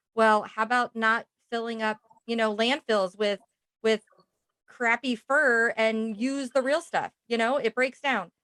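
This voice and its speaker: A woman with a fairly high, bright and sharp voice speaks at a fairly slow pace, her loudness very even and her intonation fairly even, in a dry, close recording with no echo. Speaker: podcast host. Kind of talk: casual interview chat.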